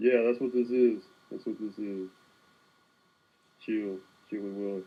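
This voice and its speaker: Speaking at a fairly slow pace, a man with a fairly low pitch keeps a relaxed tone and a monotone, flat intonation while his loudness swings widely. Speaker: art livestreamer. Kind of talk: casual livestream chat while sketching. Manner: relaxed, laid back.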